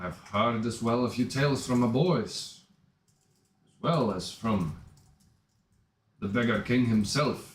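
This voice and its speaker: In a gruff, put-on character voice at medium pitch, a man talks at a fairly slow pace with long, frequent pauses and an audible echo. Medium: actual play. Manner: gruff, throat-clearing.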